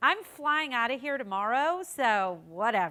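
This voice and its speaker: A woman with an American accent speaks with very wide pitch swings. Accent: American accent noticeable to local audience. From United States. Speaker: political communications consultant. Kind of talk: keynote speech. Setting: conference stage with audience.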